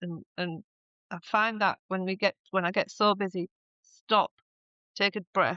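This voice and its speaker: A woman's voice at a medium pitch, moderate pace and ordinary pitch variation. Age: 60s. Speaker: writer and songwriter. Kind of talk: podcast interview. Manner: halting.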